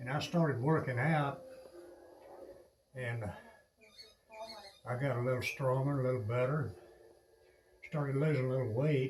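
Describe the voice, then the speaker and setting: With noticeable background noise and audible room echo, a man of medium pitch speaks at a moderate pace, his intonation fairly even and his pauses long and frequent. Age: 70s. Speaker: fitness enthusiast vlogger. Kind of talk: personal testimony while planking.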